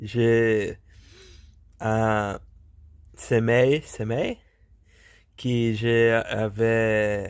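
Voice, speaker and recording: A man with a Portuguese accent speaks at a very slow pace and medium pitch. His intonation is monotone and flat, broken by long, frequent pauses. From Brazil. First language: Portuguese (speaking French). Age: 30s. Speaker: polyglot language learner vlogger. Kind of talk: language practice monologue. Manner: halting, many hesitations and repetitions.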